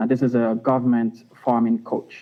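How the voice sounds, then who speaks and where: A man's medium pitch at a moderate pace, with ordinary pitch variation. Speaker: startup founder. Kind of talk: pitch presentation. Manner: soft-spoken. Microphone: remote line, too quiet.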